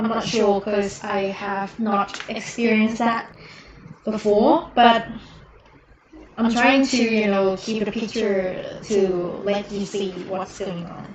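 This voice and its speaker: Over noticeable background noise, a woman with a fairly high voice talks at a very slow pace, her intonation fairly even and her speech broken by long, frequent pauses. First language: not English. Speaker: miniature painter streamer. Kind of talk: live stream painting tutorial. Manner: halting, many fillers.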